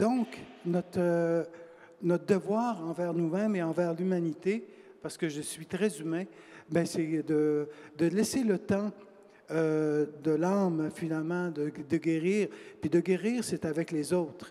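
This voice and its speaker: Slow and high-pitched, a man speaks in a dark, mellow tone. His very slow delivery has long, frequent pauses. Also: ordinary pitch variation. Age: 60s. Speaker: author. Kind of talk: panel discussion. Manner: hesitant, many fillers and repetitions.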